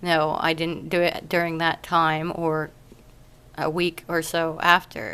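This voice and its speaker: This woman's voice has a bright, sharp tone and a fairly low pitch. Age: 30s. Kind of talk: casual video diary update.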